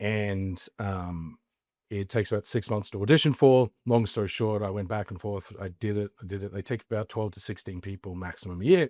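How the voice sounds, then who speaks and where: Dry and close with no echo on a very clean recording with a silent background, a man with an Australian accent talks at a fairly quick pace with fairly even intonation. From Australia, Queensland (Mackay). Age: 40s. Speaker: entrepreneur, former actor. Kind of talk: podcast interview.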